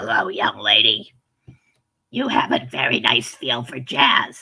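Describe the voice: A put-on character voice at a fairly slow pace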